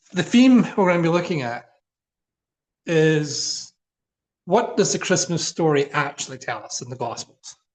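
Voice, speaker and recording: The speaker talks at a moderate pace in a Scottish accent, with lively intonation and big swings in loudness. Long, frequent pauses break up the speech. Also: man, high pitch for a man. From Scotland. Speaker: minister. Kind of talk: informal talk. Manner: conversational, with fillers.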